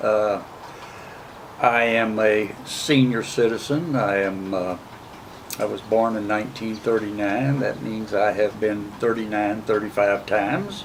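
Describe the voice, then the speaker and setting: A man with a fairly low voice speaks at a fairly slow pace with fairly even intonation. Audible room echo and noticeable background noise fill the recording. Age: 70s. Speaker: military veteran. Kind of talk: interview. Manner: halting, with frequent uh fillers.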